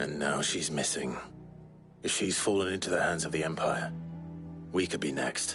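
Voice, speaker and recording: Over clear background music, a man uses a put-on character voice with a very deep, low pitch at a moderate pace. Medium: short film. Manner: measured, earnest.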